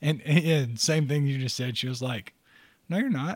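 A man at medium pitch with ordinary pitch variation and a normal speaking voice, in a dry, close sound with no echo. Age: 40s. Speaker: podcast co-host. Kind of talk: casual chat.

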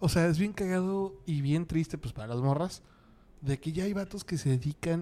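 A man with a fairly high pitch talks at a moderate pace with ordinary pitch variation and a dark, mellow tone, in a dry, close sound with no echo. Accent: Mexican. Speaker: podcast host. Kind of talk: casual chat.

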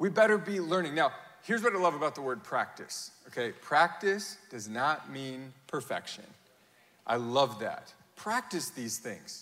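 Speaking at a fairly slow pace, a man with a fairly high pitch makes very wide pitch swings and big swings in loudness. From Europe (grew up on mission field, Germany). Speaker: pastor. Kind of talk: sermon. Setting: church with congregation. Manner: animated.

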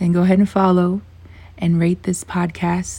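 A woman speaks in a dark, mellow tone at a fairly low pitch. Her voice is somewhat breathy and moves at a moderate pace. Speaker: podcast host. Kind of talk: casual monologue.

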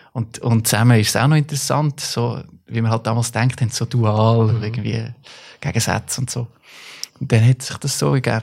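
This man talks at a moderate pace in a medium pitch. His voice is somewhat breathy, and his intonation is fairly even. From Central Switzerland, Stans (Nidwalden). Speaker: artist and musician. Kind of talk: casual chat.

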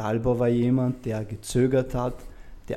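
A man's medium-pitched voice with a dark, mellow tone at a moderate pace, in a very clean recording with a silent background. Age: 30s. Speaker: mental coach and mentor. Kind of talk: interview. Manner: halting.

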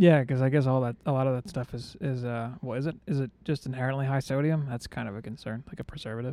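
Here a man talks at a very fast pace and medium pitch. His dark, mellow tone has ordinary pitch variation. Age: 30s. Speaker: podcast co-host. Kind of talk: casual chat.

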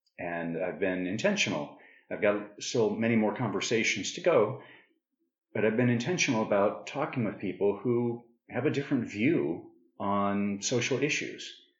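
A man with an American accent speaks in a fairly low voice with lively intonation, and the room echo is audible. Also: moderate pace. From northern Arizona, US. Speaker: podcast host. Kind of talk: casual interview conversation.

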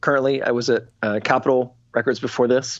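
A man with an American accent speaks at a moderate pace. He has a medium pitch and an unremarkable speaking voice. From US Midwest, Illinois. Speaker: musician and record label executive. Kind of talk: casual interview chat. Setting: home studio, remote interview.

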